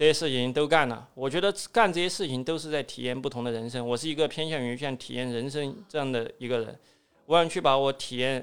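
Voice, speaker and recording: A man with a southwestern Chinese accent, fairly high pitch and fairly quick pace, on a very clean recording with a silent background. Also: ordinary pitch variation. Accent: Southwestern Mandarin. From Southwest China. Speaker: escape room entrepreneur. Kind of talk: interview.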